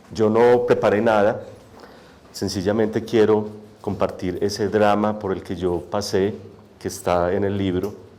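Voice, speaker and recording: A man talks at a fairly slow pace and a fairly low pitch, with monotone, flat intonation. Long, frequent pauses stand out, and room echo is audible. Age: young. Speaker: poet and author. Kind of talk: testimony. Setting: auditorium with audience, microphone. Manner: soft-spoken.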